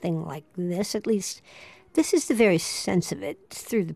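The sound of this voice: An unforced reading voice is heard throughout.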